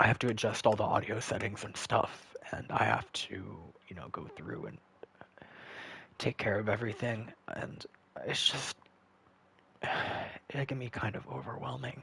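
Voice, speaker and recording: Quiet and marked by big swings in loudness, a man speaks at a moderate pace with long, frequent pauses. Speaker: gaming streamer. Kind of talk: live gameplay stream chat. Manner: quiet, hard to get loud; halting, many fillers.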